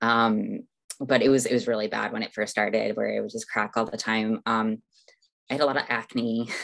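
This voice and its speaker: The background is quiet as a woman speaks at a moderate pace. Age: 30s. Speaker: detransitioner sharing personal story. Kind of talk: interview testimony. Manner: halting, many fillers.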